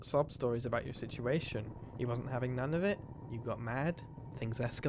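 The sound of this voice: The reading voice is unforced, and its pitch shifts in an ordinary way.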